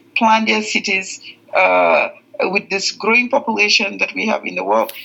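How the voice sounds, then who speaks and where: Here a woman speaks with a Gambian accent. She keeps a moderate pace. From The Gambia. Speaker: veterinarian. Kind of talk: podcast interview. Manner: hesitant, many fillers.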